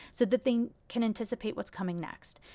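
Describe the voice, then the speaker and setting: A woman with an ordinary speaking voice and a medium pitch talks at a fairly quick pace in a very clean recording with a silent background. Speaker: podcast host, actor and mom. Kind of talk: solo podcast monologue, casual storytelling. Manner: conversational, chatty, fillers and self-corrections.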